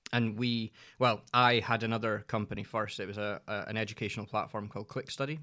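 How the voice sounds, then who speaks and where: The delivery is very fast and flat, with a monotone intonation and a bright, sharp tone. The recording is very clean, with a silent background. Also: man, medium pitch for a man. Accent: Scottish. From Scotland. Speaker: entrepreneur, agency managing director. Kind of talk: casual chat.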